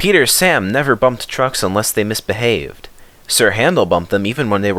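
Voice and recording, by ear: The intonation here is lively. It comes from reading aloud in a natural voice.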